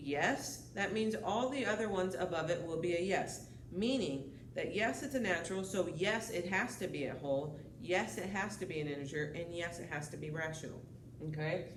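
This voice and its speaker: A woman speaks with a fairly low pitch and lively intonation. There is noticeable background noise and audible room echo. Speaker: high school math teacher. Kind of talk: lecture. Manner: fast.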